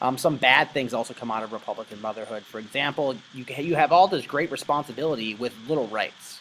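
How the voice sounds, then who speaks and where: Very fast speech from a man, medium pitch, lively intonation. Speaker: history teacher. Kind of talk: lecture. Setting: recorded online presentation. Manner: casual, filler-heavy.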